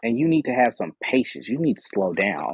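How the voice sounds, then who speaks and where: An animated man talks at medium pitch with very wide pitch swings. Vocal fry shows up in his voice. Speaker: tarot reader and live show host. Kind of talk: live stream tarot reading. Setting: live stream with audience stage. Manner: fast.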